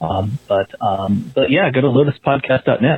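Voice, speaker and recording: A man talks with ordinary pitch variation while noticeable background noise plays behind him. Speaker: listener leaving voicemail. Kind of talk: voicemail message. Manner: halting.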